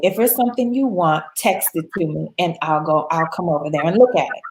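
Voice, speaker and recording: This woman has an American accent and a fairly low pitch. Her intonation is lively, her tone animated, and her pace moderate. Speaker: travel expert guest. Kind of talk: casual interview chat.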